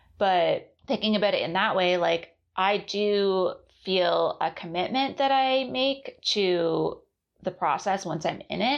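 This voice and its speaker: A woman uses a normal speaking voice at medium pitch. Her intonation is lively. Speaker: podcast host and artist. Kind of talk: solo podcast monologue about a book series. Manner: reflective, conversational.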